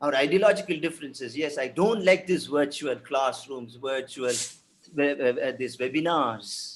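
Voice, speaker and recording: The speaker is a man with a fairly high pitch. His pitch variation is ordinary. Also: moderate pace. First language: Tamil. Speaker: professor of French. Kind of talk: webinar panel talk. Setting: video call webinar. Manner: halting, many fillers and repetitions.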